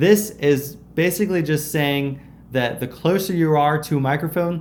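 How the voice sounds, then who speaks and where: A man speaks with lively intonation at a moderate pace. Light background noise runs behind him. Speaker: YouTube creator. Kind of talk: tutorial. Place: kitchen. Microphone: lapel.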